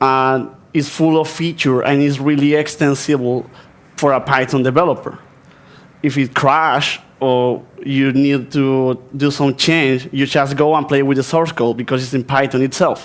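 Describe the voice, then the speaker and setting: Fairly slow, flat monotone speech from a man with an Argentine accent and fairly high pitch. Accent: Spanish-speaking Argentine accent in English. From Argentina. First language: Spanish. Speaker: software developer, conference speaker. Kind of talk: conference talk. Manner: halting.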